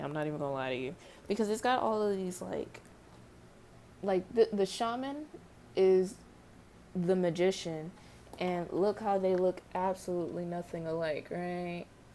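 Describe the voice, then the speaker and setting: Soft-spoken and with long, frequent pauses, a woman uses a dark, mellow tone at a medium pitch with ordinary pitch variation. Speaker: tarot reader. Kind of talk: tarot reading vlog. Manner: casual, rambling.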